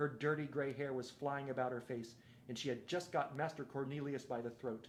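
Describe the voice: This plain reading aloud keeps its intonation fairly level.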